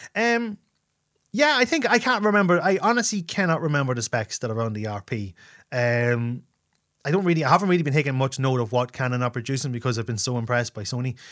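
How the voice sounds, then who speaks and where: Talking at a very fast pace, a man with a medium pitch makes very wide pitch swings on a very clean recording with a silent background. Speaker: photographer and podcaster. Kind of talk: casual solo Q&A. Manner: fast talker; informal, chatty.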